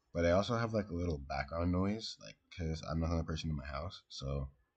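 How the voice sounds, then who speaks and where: A soft-spoken man talks at a fairly quick pace in a very deep, low pitch, his voice somewhat breathy. The background is quiet. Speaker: gaming streamer. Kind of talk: casual chat. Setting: live stream at home. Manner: halting.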